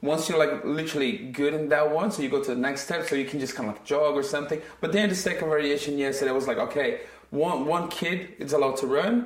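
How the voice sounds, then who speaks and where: Against noticeable background noise, a man with a non-native accent speaks fairly quickly at a fairly high pitch, with ordinary pitch variation. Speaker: football academy coach and podcast co-host. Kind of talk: casual chat. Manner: animated.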